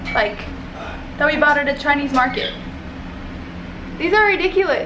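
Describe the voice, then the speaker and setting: With an American accent, a woman uses a raised, projected, high voice at very even loudness, with audible room echo and noticeable background noise. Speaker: travel vlogger. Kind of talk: travel vlog. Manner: fast; animated.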